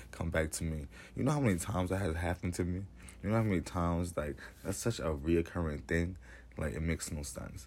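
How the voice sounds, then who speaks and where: Speaking at a very fast pace, a man with a very deep, low pitch sounds animated, with ordinary pitch variation. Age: 20s. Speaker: podcast host. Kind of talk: casual chat.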